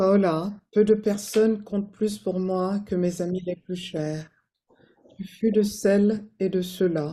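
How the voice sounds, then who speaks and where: A woman speaks at a moderate pace in a dark, mellow tone with monotone, flat intonation. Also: medium pitch for a woman. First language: French. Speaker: friend giving a eulogy. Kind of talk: memorial tribute.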